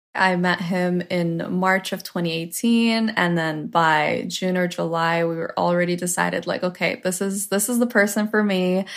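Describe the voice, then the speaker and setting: This woman has an ordinary speaking voice with a Canadian accent. Her intonation stays fairly even. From Ontario, Canada (Toronto area). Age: 20s. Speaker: social media influencer. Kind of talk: interview storytelling.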